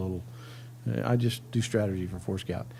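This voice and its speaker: Audible room echo surrounds a man speaking at a moderate pace with ordinary pitch variation. His voice is dark, mellow and somewhat breathy. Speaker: cybersecurity strategist, military veteran. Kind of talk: conference talk. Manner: casual, joking.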